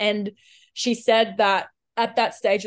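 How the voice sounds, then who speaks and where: The speaker has an Australian accent, heard over a quiet background. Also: woman. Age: 20s. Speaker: Olympic swimmer. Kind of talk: casual interview chat.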